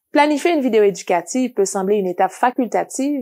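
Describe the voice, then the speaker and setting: A woman talks with a non-native accent and ordinary pitch variation. Her recording is very clean against a silent background. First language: not French (speaking French). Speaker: educational video trainer for teachers. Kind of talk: scripted tutorial.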